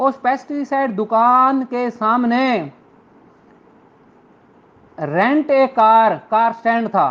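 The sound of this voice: The speaker has a fairly bright tone and ordinary pitch variation, moving at a slow pace with long, frequent pauses. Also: man, extremely high pitch for a man.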